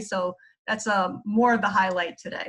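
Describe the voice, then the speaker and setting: A woman speaks with a New York accent. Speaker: psychologist teaching mindfulness. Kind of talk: lecture. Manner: casual, filler-heavy.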